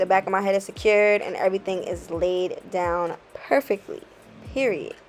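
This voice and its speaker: Music plays in the background. The speaker has an American accent. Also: woman. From Bronx, New York. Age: 20s. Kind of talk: hair tutorial talk to camera. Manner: casual, friendly.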